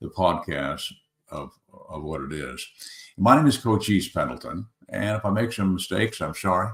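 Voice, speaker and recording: A very deep, low male voice with vocal fry and lively intonation, at a moderate pace broken by long, frequent pauses. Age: 70s. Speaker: podcast host. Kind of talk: casual monologue. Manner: halting, many fillers.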